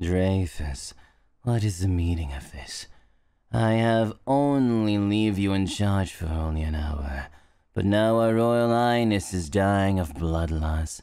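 A put-on character voice at a fairly slow pace. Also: man, fairly low pitch for a man. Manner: scolding, exasperated.

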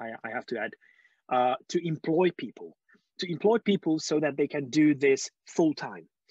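Against a quiet background, a man with a Hungarian accent speaks at a fairly high pitch with lively intonation in a dry sound with no echo. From Hungary. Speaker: skeptic movement speaker. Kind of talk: conference talk. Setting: video call. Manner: halting. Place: home room. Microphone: earbuds.

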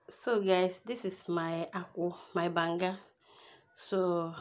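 Here is a woman with an unremarkable speaking voice. Her pitch is fairly low, and her intonation stays fairly even. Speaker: home cooking vlogger. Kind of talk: casual cooking vlog. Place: street. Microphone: phone near.

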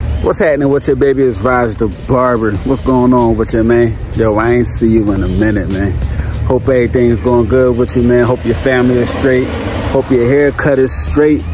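Music plays in the background behind a man. The sound is dry with no echo, and his pitch variation is ordinary. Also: moderate pace. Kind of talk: casual vlog chat. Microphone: phone near.

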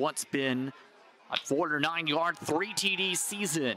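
The man's intonation is lively, and his sound is dry with no echo. Crowd noise runs in the background. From Canada. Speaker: play-by-play announcer. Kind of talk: live sports play-by-play commentary.

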